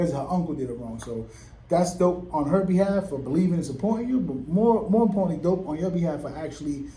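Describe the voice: Fast, lively speech from a man with a fairly high pitch and a dark, mellow tone, plus audible room echo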